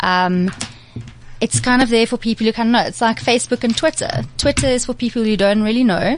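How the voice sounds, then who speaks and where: Fairly quick and fairly high, a woman talks in a plain, everyday voice. Her pitch varies in an ordinary way. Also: very even loudness. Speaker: PR and digital freelancer, blogger. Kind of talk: casual chat. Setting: studio.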